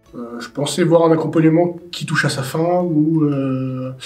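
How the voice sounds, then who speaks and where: Very slowly, a man speaks at a fairly high pitch with fairly even intonation. Audible room echo and noticeable background noise fill the recording. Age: 20s. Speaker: youth support worker. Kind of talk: interview. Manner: hesitant, many fillers.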